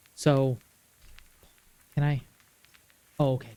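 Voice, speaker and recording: A man speaks at a medium pitch with a dark, mellow tone and a somewhat breathy quality. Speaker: streamer. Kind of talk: live gaming stream commentary.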